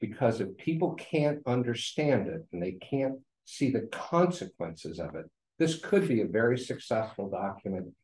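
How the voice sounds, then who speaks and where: The voice has a dark, mellow tone, somewhat breathy, at a moderate pace. Audible room echo surrounds it. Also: man. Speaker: resident giving public comment. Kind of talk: public comment at meeting. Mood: critical, persuasive. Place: meeting room. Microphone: podium.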